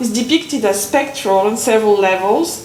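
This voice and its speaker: A woman's fairly high voice with a non-native accent, moderate pace and ordinary pitch variation, plus noticeable background noise and audible room echo. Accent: foreign accent, noticeable today. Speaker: conference speaker, literature academic. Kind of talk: academic conference talk. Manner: halting, with hesitations.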